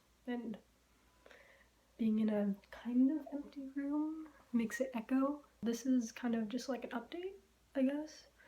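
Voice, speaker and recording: Soft-spoken delivery broken by long, frequent pauses. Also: woman, high pitch for a woman, ordinary pitch variation, fairly slow pace. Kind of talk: casual vlog update. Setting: empty bedroom. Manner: halting. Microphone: room echo.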